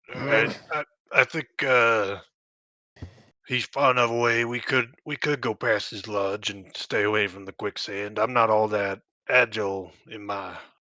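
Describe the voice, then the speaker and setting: A man uses a put-on character voice, raspy and fairly low, at a moderate pace with a dry, close sound and no echo. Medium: actual play. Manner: folksy drawl with "ain't", cautious.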